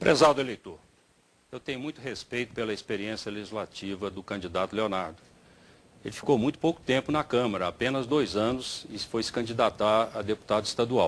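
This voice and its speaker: A man uses a normal speaking voice at medium pitch, with ordinary pitch variation at a fairly quick pace. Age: 60s. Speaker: mayoral candidate, former state secretary. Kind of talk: political debate.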